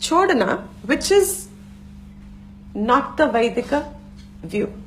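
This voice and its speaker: A woman speaks very slowly in a high pitch with a Gujarati accent. Her pitch swings very widely, and room echo is audible. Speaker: Vedanta teacher. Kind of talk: lecture.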